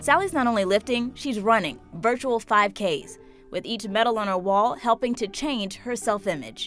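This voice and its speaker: Speech moves at a moderate pace with ordinary pitch variation. Music plays in the background. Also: woman, fairly high pitch for a woman. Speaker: news reporter. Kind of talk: TV news feature narration.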